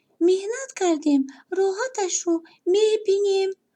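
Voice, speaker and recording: An extremely high, squeaky, put-on character voice. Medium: read story.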